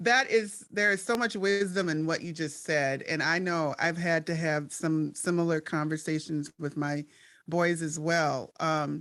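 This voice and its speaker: In a very clean recording with a silent background, a woman talks fairly slowly with an American accent. She has an unremarkable speaking voice, fairly low in pitch with ordinary variation. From Minnesota, Twin Cities. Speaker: podcast host and panel moderator. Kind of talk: panel discussion.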